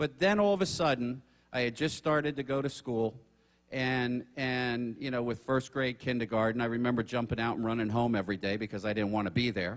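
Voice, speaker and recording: Delivered at a fairly quick pace, an unremarkable speaking voice shows ordinary pitch variation. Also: man, medium pitch for a man. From South Florida (moved from New Jersey at age 8). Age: 60s. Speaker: author and seminar speaker. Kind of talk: seminar talk. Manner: conversational, many fillers.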